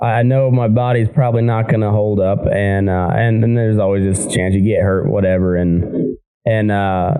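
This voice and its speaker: With an American accent, a man speaks at a moderate pace and fairly low pitch, his tone dark and mellow, his intonation fairly even and his loudness very even, hardly pausing, in a room with audible echo. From southeast Colorado. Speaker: podcast host and cowhand. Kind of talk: casual interview. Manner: halting.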